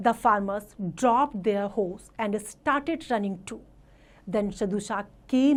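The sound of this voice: An unforced reading voice, pitch rising and falling as usual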